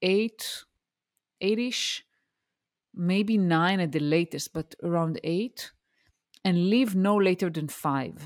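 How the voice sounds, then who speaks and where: In a very clean recording with a silent background, a woman with an Israeli accent speaks with lively intonation in a dry, close sound with no echo. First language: Hebrew. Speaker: career coach and mentor, former engineering manager. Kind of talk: interview.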